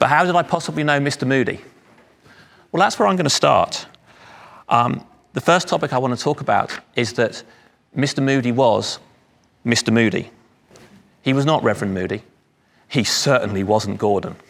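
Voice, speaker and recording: With a London accent and lively intonation, a man speaks at a moderate pace, leaving long, frequent pauses. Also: medium pitch for a man. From London area, England. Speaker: speaker at charity anniversary event. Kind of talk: speech.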